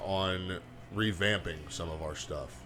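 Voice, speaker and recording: Music plays in the background as a man with a fairly low pitch speaks with fairly even intonation. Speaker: band member, podcast host. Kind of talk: casual chat. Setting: band rehearsal room. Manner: loud.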